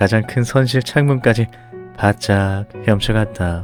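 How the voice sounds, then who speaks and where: Against music in the background, the speaker goes at a fairly slow pace with ordinary pitch variation. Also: man. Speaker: audiobook narrator. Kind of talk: bedtime story audiobook reading. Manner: soft, calm, ASMR-style.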